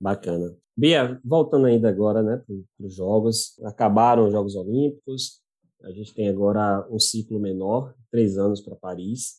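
A man with a fairly low pitch and an ordinary speaking voice talks at a moderate pace, with big swings in loudness and ordinary pitch variation. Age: 20s. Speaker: podcast host. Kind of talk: casual interview.

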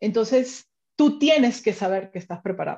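A dark, mellow tone and a somewhat breathy quality in a woman's voice. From Venezuela. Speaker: finance executive. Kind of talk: interview.

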